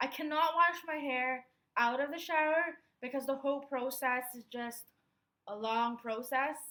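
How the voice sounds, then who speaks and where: A woman's high, raised and projected voice at a moderate pace, ordinary in pitch variation, with big swings in loudness. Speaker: beauty vlogger. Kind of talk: tutorial. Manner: casual, chatty.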